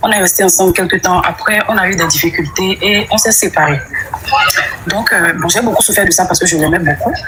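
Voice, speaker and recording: A woman's voice at a fairly quick pace and very even loudness, with noticeable background noise. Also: medium pitch for a woman, ordinary pitch variation. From Benin. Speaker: caller. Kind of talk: testimony.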